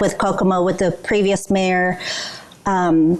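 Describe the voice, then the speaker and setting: A woman's medium-pitched voice comes through with clear background noise behind it. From South Korea. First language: Korean. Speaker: business culture trainer. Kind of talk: training presentation.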